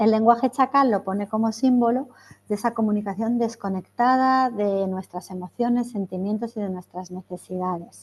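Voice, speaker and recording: In a dry, close sound with no echo and a quiet background, a woman speaks at a moderate pace in a fairly high, somewhat breathy voice with fairly even intonation. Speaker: trainer / workshop facilitator. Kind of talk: online training workshop.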